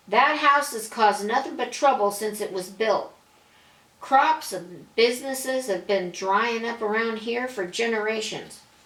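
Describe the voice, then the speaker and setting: In a put-on character voice, a female-sounding speaker talks at a moderate pace, hoarse and fairly high in pitch. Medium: read story. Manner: blunt, brusque.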